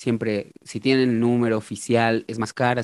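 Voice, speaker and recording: A man talks at a medium pitch. The sound is dry and close with no echo, in a very clean recording with a silent background. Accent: Mexican. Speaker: musician and retro football shirt collector. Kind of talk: casual chat.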